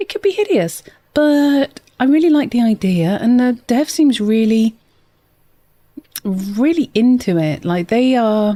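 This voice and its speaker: A soft-spoken woman talks at a fairly slow pace in a dark, mellow tone. Her voice is high-pitched, with very wide pitch swings. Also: dry, close sound with no echo. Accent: British. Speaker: gaming streamer. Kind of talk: live gameplay stream chat. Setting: live stream.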